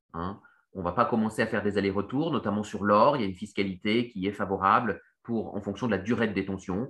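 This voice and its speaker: A man with a fairly low voice talks at a fairly quick clip, his pitch moving in an ordinary way. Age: 30s. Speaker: economist and investment newsletter founder. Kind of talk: Q&A explainer. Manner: hesitant, many fillers and repetitions.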